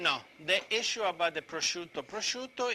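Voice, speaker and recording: A man with an Italian accent, a bright, sharp tone and lively intonation. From Italy, Rome region. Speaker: chef teaching cooking class. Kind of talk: cooking demonstration. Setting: live video stream cooking class. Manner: halting, repetitive.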